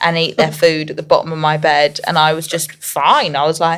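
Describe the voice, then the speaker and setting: This woman has a fairly low pitch and an English accent. She keeps a moderate pace. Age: 20s. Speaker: singer. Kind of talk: casual chat.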